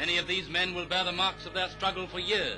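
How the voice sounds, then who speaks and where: Music plays in the background. Over it, a man speaks in a raised, projected voice. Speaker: newsreel narrator. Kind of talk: newsreel commentary.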